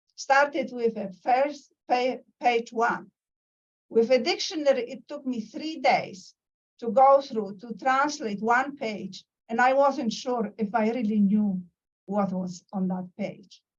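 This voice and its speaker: With a Polish accent, a woman talks at a very slow pace in a high pitch, her pitch varying ordinarily while her loudness swings widely. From Poland. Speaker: professor. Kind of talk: lecture. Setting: video call. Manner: halting.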